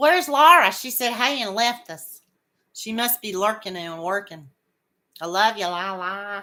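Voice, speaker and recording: A woman with a medium pitch and a bright, sharp tone speaks at a fairly slow pace with lively intonation and big swings in loudness. The recording is very clean, with a silent background. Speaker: crochet livestream host. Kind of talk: casual chat with live viewers. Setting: livestream. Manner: halting, repeats words.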